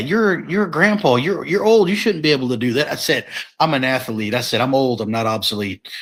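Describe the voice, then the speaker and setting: At a fairly quick pace, a man talks in a normal speaking voice of medium pitch with lively intonation. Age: 40s. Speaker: professional wrestler. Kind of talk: casual chat. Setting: live podcast.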